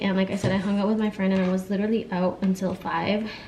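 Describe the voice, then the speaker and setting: There is noticeable background noise. Over it, a woman speaks at a fairly quick pace. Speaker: vlogger. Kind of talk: casual vlog talk. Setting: at home. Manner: rambling, hesitant with fillers.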